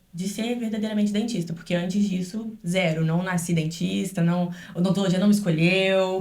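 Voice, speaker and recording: At a moderate pace and medium pitch, a woman speaks with monotone, flat intonation amid audible room echo. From Brazil, Rio then Minas Gerais (Juiz de Fora). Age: 20s. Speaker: dentist. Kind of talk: podcast interview.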